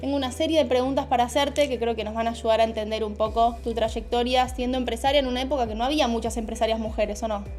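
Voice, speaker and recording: Music plays behind a woman speaking at a very fast pace with hardly any pauses. Her fairly high voice keeps fairly even intonation. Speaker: marketing content creator. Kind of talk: interviewer questions.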